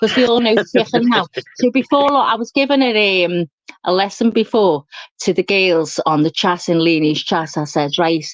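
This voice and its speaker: A woman talks at a moderate pace in a strong Scouse accent. Her pitch swings very widely, and the sound is dry and close with no echo. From England, Liverpool. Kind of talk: casual chat. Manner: animated.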